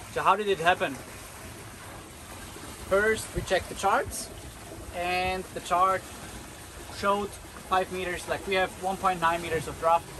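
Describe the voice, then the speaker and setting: A man projects his voice loudly, raising it above noticeable background noise. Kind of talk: casual vlog chat. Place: boat. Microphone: phone near.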